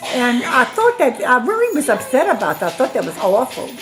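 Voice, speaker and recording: A woman talks at a fairly quick pace with very wide pitch swings, and background noise is noticeable. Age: 70s. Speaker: grandmother being interviewed. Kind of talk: family interview.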